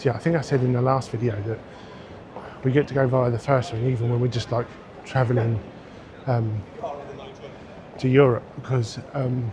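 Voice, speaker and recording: A man at medium pitch with monotone, flat intonation, a moderate pace and long, frequent pauses, over noticeable background noise. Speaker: travel vlogger. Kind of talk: vlog talk to camera. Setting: busy airport terminal; outdoors walking. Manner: quiet.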